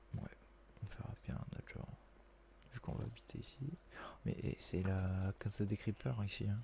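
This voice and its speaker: Soft-spoken, somewhat breathy speech in a dark, mellow tone, at a moderate pace with long, frequent pauses. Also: man, fairly low pitch for a man, ordinary pitch variation. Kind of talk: casual gameplay commentary.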